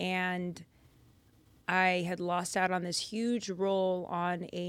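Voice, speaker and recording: A woman's fairly low voice with an American accent and monotone, flat intonation. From Lynn, Massachusetts (Boston area), US. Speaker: actor and Bible podcast host. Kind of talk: casual chat.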